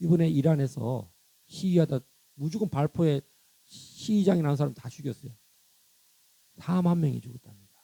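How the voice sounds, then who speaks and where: Heard dry and close with no echo, a man with a dark, mellow tone and a somewhat breathy voice speaks at a moderate pace, his loudness swinging widely, his pitch variation ordinary, and his pauses long and frequent. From South Korea, countryside. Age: 60s. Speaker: pastor. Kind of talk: sermon. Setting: church. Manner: animated.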